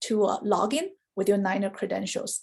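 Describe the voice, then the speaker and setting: Somewhat breathy, a woman with a dark, mellow tone and ordinary pitch variation speaks with a Chinese accent. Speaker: university study abroad administrator and Chinese professor. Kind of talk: informational presentation. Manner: clear, explanatory.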